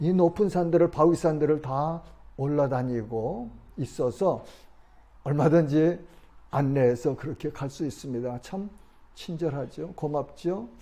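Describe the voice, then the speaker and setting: A man's dark, mellow tone at a fairly high pitch, fairly slow pace, and ordinary pitch variation. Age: 70s. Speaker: pastor. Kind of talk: sermon.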